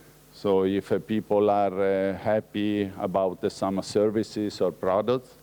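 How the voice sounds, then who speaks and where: A man's fairly low, dark, mellow voice in an Italian accent, monotone and flat, at a fairly slow pace with hardly any pauses and very even loudness. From Italy. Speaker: researcher. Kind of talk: lecture. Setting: conference talk. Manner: halting, many fillers.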